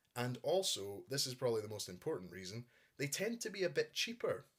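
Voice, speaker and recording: A man talks with a Scottish accent. His pace is moderate and his pitch is medium. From Scotland. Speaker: YouTuber, collector. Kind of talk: casual show-and-tell.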